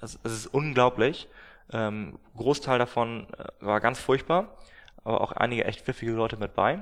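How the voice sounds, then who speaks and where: A man with a plain, everyday voice, a medium pitch with ordinary pitch variation, a moderate pace, and big swings in loudness. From northern Germany, Glückstadt on the Elbe. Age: 20s. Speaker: startup founder. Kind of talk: interview. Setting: office.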